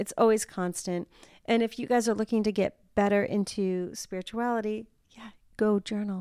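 Recorded with a dry, close sound with no echo, a woman speaks at a fairly high pitch with big swings in loudness. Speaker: podcast host and spirit medium. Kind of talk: casual chat. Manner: fast; animated.

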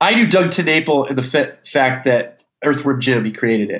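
Here is a man with an unremarkable speaking voice. His pitch is fairly high and his pace fairly quick. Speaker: guest, writer and creator. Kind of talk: casual chat.

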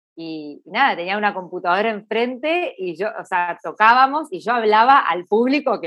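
A woman speaks at a fairly quick pace with a Rioplatense accent. Her pitch is fairly high. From Argentina. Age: 40s. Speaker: singer-songwriter. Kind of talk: interview.

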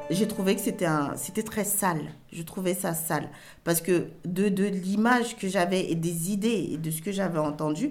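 With audible room echo, a woman talks at a moderate pace with ordinary pitch variation. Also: medium pitch for a woman. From Cameroon, moved to France at 8. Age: 40s. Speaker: interviewee telling her life story. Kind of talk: personal testimony interview.

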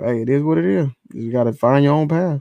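A man is talking. He speaks with an American accent. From Los Angeles. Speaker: panelist on a live call-in stream. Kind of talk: casual chat. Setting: online live stream call.

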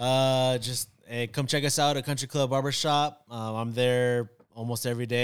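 With a normal speaking voice, a man talks at a medium pitch using fairly even intonation. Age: 30s. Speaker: barber. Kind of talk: casual chat.

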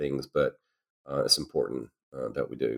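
A man with a Louisiana accent at a moderate pace, dry and close in sound with no echo. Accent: Southern US (Louisiana). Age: 50s. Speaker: podcast guest, host's husband. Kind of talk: casual faith conversation. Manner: halting, many filler words.

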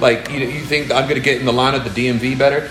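A man speaks at a very fast pace with a fairly high pitch and monotone, flat intonation. Noticeable background noise and audible room echo fill the recording. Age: 30s. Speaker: music producer and songwriter. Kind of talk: casual chat. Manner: filler-heavy, repetitive speech.

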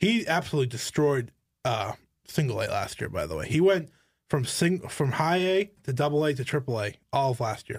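A man's fairly high, somewhat breathy voice, playful in tone, with lively intonation at a moderate pace, on a very clean recording with a silent background. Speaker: podcast host. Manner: playful banter, interrupts.

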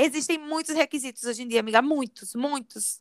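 A woman speaks at a fairly quick pace in a high voice with lively intonation. The recording is very clean, with a silent background and a dry, close sound free of echo. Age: 20s. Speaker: podcast co-host. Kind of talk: casual chat.

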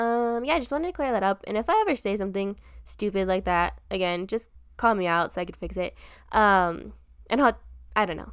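A plain, everyday voice from a woman at medium pitch, fairly quick, with ordinary pitch variation on a very clean recording with a silent background. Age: 20s. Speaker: podcast co-host. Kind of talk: casual chat.

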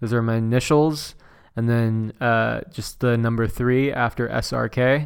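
On a very clean recording with a silent background, a man with an American accent speaks fairly slowly at a medium pitch in a flat monotone. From Southern California (Inland Empire). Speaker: retoucher and graphic designer. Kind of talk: casual chat.

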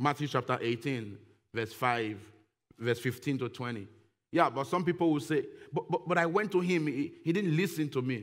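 Here is a man with a normal speaking voice, pitched fairly high. He keeps a moderate pace with lively intonation. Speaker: guest preacher. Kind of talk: sermon. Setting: church.

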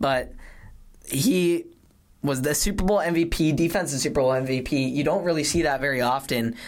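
With an American accent, a man has an unremarkable speaking voice, a fairly high pitch, ordinary pitch variation and a moderate pace. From Colorado. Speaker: sports podcast host. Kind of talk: casual chat.

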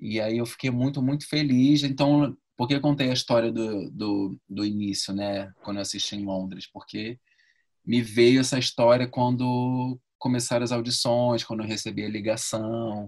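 A man's medium-pitched voice, an ordinary speaking voice, with fairly even intonation and a moderate speed. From Rio de Janeiro, Brazil. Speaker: actor and ballet dancer. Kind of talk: interview.

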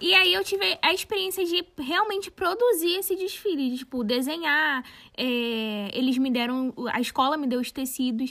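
A woman speaks at a moderate pace in a raised, projected voice with a bright, sharp tone. Her pitch is high and swings very widely. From Brazil, São Gonçalo (Rio de Janeiro state). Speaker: fashion designer and content creator, podcast co-host. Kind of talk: casual chat.

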